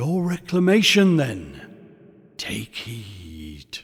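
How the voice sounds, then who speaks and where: A man speaks very slowly in a put-on character voice at a medium pitch, his pitch swinging very widely. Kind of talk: Victorian ghost story reading. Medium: read story. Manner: solemn, measured, mild.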